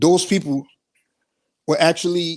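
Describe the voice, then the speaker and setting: A man with a high pitch and an animated tone talks at a fairly quick pace on a very clean recording with a silent background. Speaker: caller on a live discussion stream. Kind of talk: heated debate. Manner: fast.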